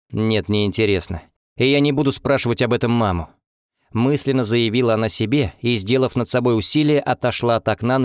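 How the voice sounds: Over a quiet background, someone reads in a natural reading voice with ordinary pitch variation.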